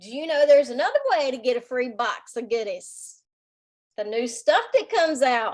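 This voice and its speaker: Speaking with a Southern US accent, a woman uses a high pitch and lively intonation. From US South. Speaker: direct sales team leader. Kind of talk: sales team meeting. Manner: animated.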